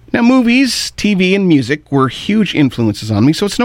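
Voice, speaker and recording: Using very wide pitch swings, a man with a Canadian accent speaks at a fairly slow pace. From Ontario, Canada. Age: 50s. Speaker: radio host. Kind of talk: radio show commentary.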